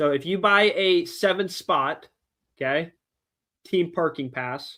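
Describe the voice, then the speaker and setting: A man's animated voice with a bright, sharp tone and ordinary pitch variation, on a very clean recording with a silent background. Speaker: car audio shop owner and event organizer. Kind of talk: livestream casual chat. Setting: livestream with co-hosts.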